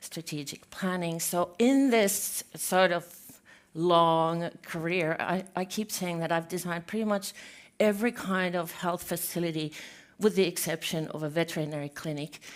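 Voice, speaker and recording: In a Finnish accent, a woman speaks at fairly low pitch with ordinary pitch variation. Her pace is moderate, and the recording is very clean with a silent background. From Finland. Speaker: healthcare architect, conference speaker. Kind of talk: conference talk. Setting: stage with audience.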